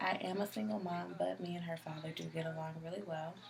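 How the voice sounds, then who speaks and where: A woman at a moderate pace, fairly low in pitch, with noticeable background noise. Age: 20s. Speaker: community college student. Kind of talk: video self-introduction. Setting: self-recorded video at home. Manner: hesitant, many ums.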